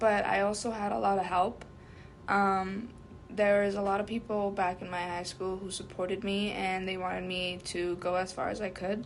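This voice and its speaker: A woman of medium pitch talks at a fairly quick pace. Room echo can be heard. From US (came as small child). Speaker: undocumented immigrant interviewee. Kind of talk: interview. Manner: hesitant, many fillers.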